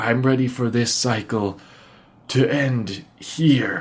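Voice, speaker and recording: Speaking very slowly, a man adopts a put-on character voice. His pitch stays medium. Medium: actual play. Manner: slow, melancholy.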